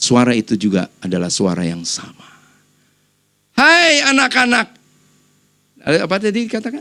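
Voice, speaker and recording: The voice is shrill and animated, moving at a moderate pace. Long pauses come often. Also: man. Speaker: pastor. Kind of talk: sermon. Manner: animated, conversational.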